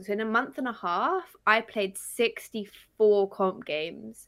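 A woman's ordinary speaking voice at medium pitch, with ordinary pitch variation, in a very clean recording with a silent background. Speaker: Twitch streamer. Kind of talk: casual chat.

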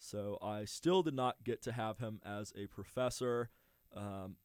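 A man with an American accent has an unremarkable speaking voice, fairly low in pitch with fairly even intonation. The sound is dry and close with no echo, on a very clean recording with a silent background. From US, suburban Houston, Texas. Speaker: student radio host. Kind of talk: casual interview. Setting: studio.

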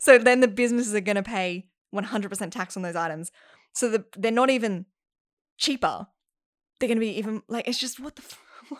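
Through long, frequent pauses, a woman keeps a fairly quick pace with ordinary pitch variation on a very clean recording with a silent background. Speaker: actor and singing teacher. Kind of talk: casual chat.

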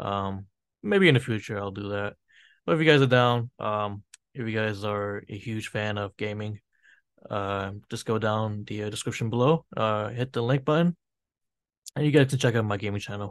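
An unremarkable speaking voice from a man with an American accent, fairly low pitch and ordinary pitch variation, at a moderate pace against a quiet background. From US. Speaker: podcast co-host and gaming youtuber. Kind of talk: promo plug; casual chat.

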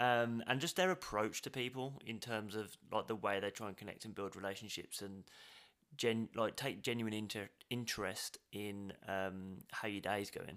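A man talks at a moderate pace with ordinary pitch variation and a fairly low pitch. He has a plain, everyday voice. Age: 30s. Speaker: podcast host. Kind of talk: casual interview chat.

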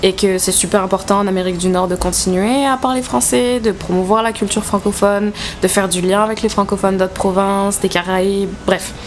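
Fairly quick delivery with fairly even intonation over noticeable background noise. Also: woman, medium pitch for a woman. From southern France. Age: 20s. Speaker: podcast co-host. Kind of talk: casual chat about politics.

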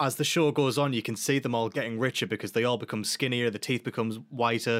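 A man with a British accent talks at a fairly quick pace, his pitch medium and his intonation fairly even. The recording is very clean, with a silent background. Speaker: podcast host, band member. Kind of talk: casual chat. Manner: chatty, joking.

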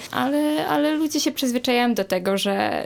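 A woman's high-pitched voice at a moderate pace. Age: young. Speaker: activist and artist. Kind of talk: casual chat.

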